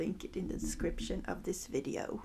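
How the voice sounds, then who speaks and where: At a moderate pace, a woman with a non-native accent speaks in a somewhat breathy voice. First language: not English. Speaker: sewing youtuber. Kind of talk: tutorial; voice-over narration. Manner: casual.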